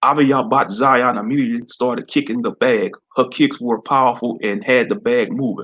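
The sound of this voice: The reading voice here sounds unforced.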